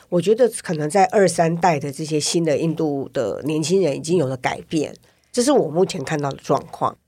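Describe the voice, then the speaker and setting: The pace here is moderate. The tone is dark and mellow. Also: woman, fairly low pitch for a woman, ordinary pitch variation. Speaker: podcast host. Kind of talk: casual interview chat.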